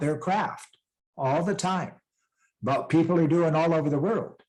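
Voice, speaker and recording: Speaking in a western US accent, a man talks at a moderate pace with a fairly high pitch. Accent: western American. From western US (Rocky Mountains). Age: 60s. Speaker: peace ambassador and author. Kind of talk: interview. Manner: conversational, motivational.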